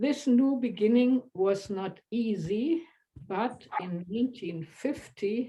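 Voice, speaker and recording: A woman's fairly high, dark, mellow, somewhat breathy voice at a very slow pace, with lively intonation. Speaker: widow giving a remembrance. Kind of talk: reading aloud. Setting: video call.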